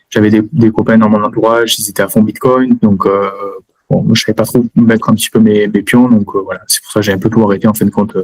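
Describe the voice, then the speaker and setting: At a very fast pace, a medium-pitched man talks with fairly even intonation in a dry, close sound with no echo. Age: 30s. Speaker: engineer, student of an investing course. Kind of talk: testimony interview. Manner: hesitant, many fillers; casual.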